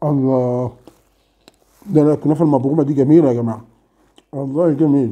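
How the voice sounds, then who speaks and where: A man with an Egyptian accent and a dark, mellow tone, at a fairly quick pace with fairly even intonation and long, frequent pauses, over a quiet background. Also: fairly high pitch for a man. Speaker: food vlogger. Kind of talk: casual mukbang vlog. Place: home room. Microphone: camera far.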